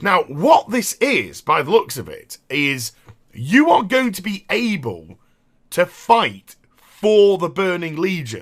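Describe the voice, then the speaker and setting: In a British accent, a man speaks very slowly at a high pitch. His pitch swings very widely and his loudness rises and falls a lot. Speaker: gaming youtuber. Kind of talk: gameplay commentary.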